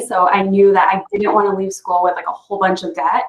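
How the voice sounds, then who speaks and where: A woman talks with an American accent. Her pitch is medium. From Connecticut, US (East Hartford). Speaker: Ivy League alumna speaking to students. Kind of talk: panel Q&A on video call. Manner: casual with many fillers.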